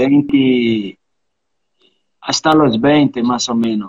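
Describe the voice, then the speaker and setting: A man with a Portuguese accent. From Brazil, Bahia (island near Salvador). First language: Portuguese (speaking Spanish). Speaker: capoeira master. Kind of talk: interview.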